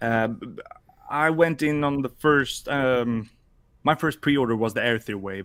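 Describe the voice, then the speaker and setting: With a Swedish accent, a man speaks at a moderate pace and a medium pitch. His pitch variation is ordinary, and his loudness swings widely. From Sweden. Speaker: podcast co-host and toy customizer. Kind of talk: casual chat.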